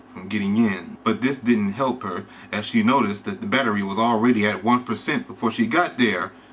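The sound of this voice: A reading voice, unforced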